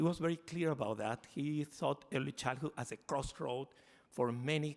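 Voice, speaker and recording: A man speaks with a Spanish accent at a fairly slow pace. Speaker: foundation representative. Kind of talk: conference talk. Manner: halting.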